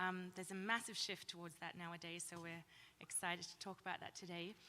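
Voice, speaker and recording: A woman speaks with an Australian accent and a bright, sharp tone. Her pace is fairly quick. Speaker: company founder. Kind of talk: panel discussion.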